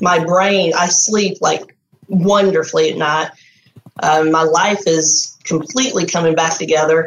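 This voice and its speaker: Here a woman speaks at a fairly low pitch. Her pace is moderate. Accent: Texan. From Texas. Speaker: artist, program graduate. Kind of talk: interview, personal testimony. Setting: video call.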